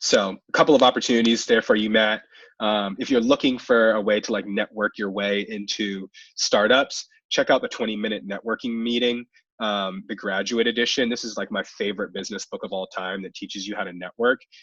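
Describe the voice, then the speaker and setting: With an American accent, a man talks at a fairly quick pace in a fairly low pitch with fairly even intonation and big swings in loudness, recorded dry and close with no echo against a quiet background. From US Mid-Atlantic (DC area). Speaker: webinar host, recruiter for fellowship program. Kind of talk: webinar Q&A advice. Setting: video call webinar. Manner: fast.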